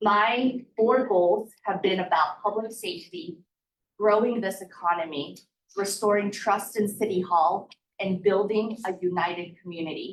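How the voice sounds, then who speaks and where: This woman speaks with a Spanish accent at a fairly slow pace. Her pitch varies in an ordinary way. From US Midwest (Wichita, Kansas); born in Guatemala. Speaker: mayor, former local reporter. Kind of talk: public speech. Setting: community breakfast with audience.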